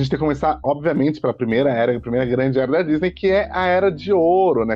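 The speech runs at a very fast pace. Its intonation is lively. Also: man. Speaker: podcast host, film reviewer. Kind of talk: casual chat.

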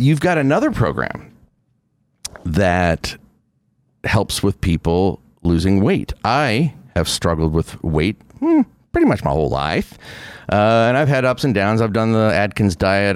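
The speaker uses lively intonation at a fairly slow pace, with long, frequent pauses and very even loudness. The sound is dry and close with no echo, and the recording is very clean with a silent background. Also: man. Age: 50s. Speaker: podcast host. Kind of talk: interview. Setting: studio.

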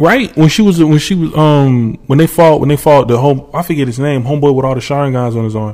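Here is a man with an unremarkable speaking voice. He talks at a fairly quick pace with a fairly high pitch. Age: 20s. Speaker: podcast host. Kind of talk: casual chat.

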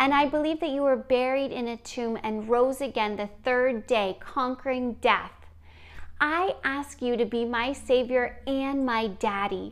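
Against a silent background on a very clean recording, the voice has a warm, gentle tone, fairly even intonation and a fairly slow pace. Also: woman, high pitch for a woman. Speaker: podcast host. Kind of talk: fervent guided prayer of salvation, repeated after her (around 8:17). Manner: warm, gentle, encouraging; fervent, earnest, tender prayer-like delivery (around 8:17).

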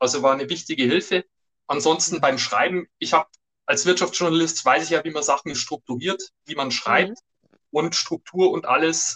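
Bright and sharp in tone, a man speaks at a fairly high pitch and moderate pace with ordinary pitch variation, in a dry, close sound with no echo. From Germany, Upper Palatinate (Bavaria). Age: 50s. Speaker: business journalist and author. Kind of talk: interview.

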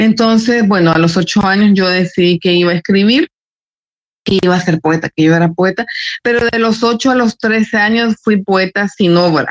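In a plain, everyday voice, a woman talks at a moderate pace and medium pitch with ordinary pitch variation and very even loudness, the sound dry and close with no echo. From El Salvador. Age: 40s. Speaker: writer and journalist. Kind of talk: casual interview.

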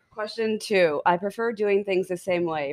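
A woman speaks in an unremarkable speaking voice. Her pace is moderate and her pitch variation ordinary. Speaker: podcast co-host. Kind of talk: casual comedy chat.

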